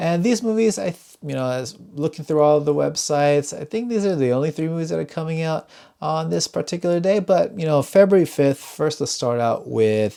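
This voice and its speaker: A quiet man with a fairly high pitch and a dark, mellow tone, lively intonation, a fairly quick pace and hardly any pauses, on a very clean recording with a silent background. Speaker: movie reviewer. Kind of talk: casual video talk. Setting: home at night. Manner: quiet, voice kept down.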